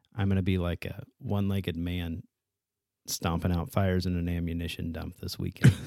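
In a very clean recording with a silent background, a man talks at a fairly quick pace with a very deep, low pitch and a dark, mellow tone. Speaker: podcast co-host. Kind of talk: casual chat.

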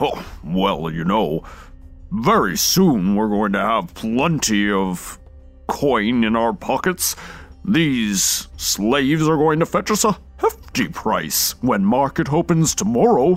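A man booms in a put-on character voice at medium pitch, his pitch swinging very widely. He speaks at a fairly slow pace over clear background music. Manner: jovial, boastful.

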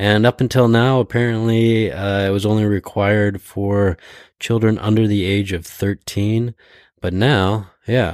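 This is a plain, everyday voice. It moves at a fairly slow pace with fairly even intonation. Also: man, fairly low pitch for a man. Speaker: podcast host. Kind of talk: casual chat. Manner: joking, chatty.

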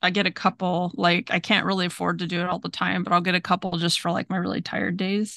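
A woman's medium-pitched voice, bright and sharp in tone, with vocal fry, a dry, close sound with no echo and a quiet background. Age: 40s. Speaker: podcast co-host. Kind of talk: casual chat. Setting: video call.

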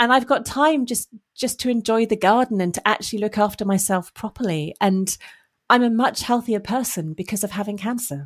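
In a plain, everyday voice, a woman speaks fairly quickly at a fairly high pitch with ordinary pitch variation, on a very clean recording with a silent background. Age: 40s. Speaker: surgeon. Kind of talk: casual chat.

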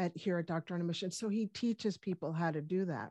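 A woman talks in a plain, everyday voice at medium pitch and a moderate pace. Her pitch varies in an ordinary way, and the sound is dry and close with no echo over a quiet background. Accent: American. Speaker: functional medicine doctor. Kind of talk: casual interview.

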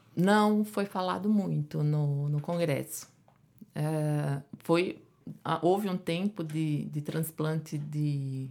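Spoken at a very slow pace with a Pernambuco accent, the voice has a dark, mellow tone and ordinary pitch variation on a very clean recording with a silent background. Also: woman, very deep, low pitch for a woman. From Pernambuco, Brazil. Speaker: endocrinologist. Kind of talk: interview.

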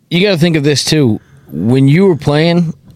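At a moderate pace, a man talks in a dry, close sound with no echo over noticeable background noise. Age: 30s. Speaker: podcast co-host. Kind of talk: casual chat. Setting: studio.

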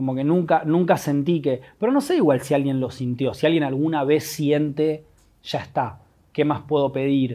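A man speaks in a Rioplatense accent at a moderate pace. His pitch is fairly high, his tone dark and mellow, and his intonation fairly even. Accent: Rioplatense Spanish (porteño). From Buenos Aires, Argentina. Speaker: musician and producer. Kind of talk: personal testimony. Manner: halting, with many repetitions.

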